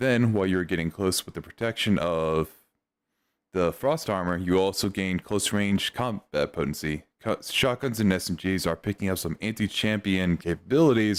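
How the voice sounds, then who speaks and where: In a very clean recording with a silent background, the speaker keeps a moderate pace and ordinary pitch variation. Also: man. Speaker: streamer. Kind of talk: reading aloud. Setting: live stream. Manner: halting.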